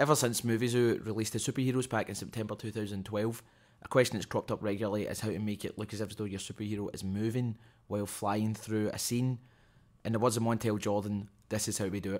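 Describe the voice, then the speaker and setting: A man with a Scottish accent, fairly low in pitch, talking very fast in a monotone, flat way on a very clean recording with a silent background. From Scotland. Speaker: software tutorial presenter. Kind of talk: screen-capture tutorial voiceover. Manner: casual, jokey.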